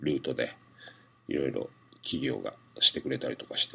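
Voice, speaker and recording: A man speaks in a Hakata accent. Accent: Hakata dialect (Fukuoka). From Fukuoka, Japan. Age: 40s. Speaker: comedian. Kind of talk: solo radio-style monologue. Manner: casual, filler-heavy.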